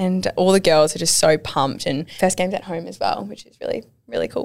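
This woman talks fairly quickly. She has an Australian accent. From Wollongong, Australia. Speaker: rugby league player. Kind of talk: casual interview chat.

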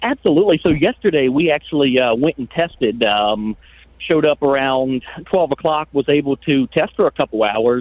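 A man with an American accent speaks at a moderate pace. His pitch is fairly high and his intonation lively. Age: young. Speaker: race car driver. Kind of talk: radio interview.

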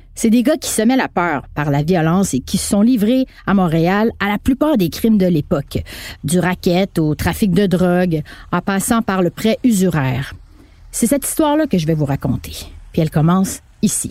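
In a Quebec accent, a woman with a dark, mellow tone and medium pitch speaks at a moderate pace, her pitch swinging very widely. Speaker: narrator and podcast host. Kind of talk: scripted narration.

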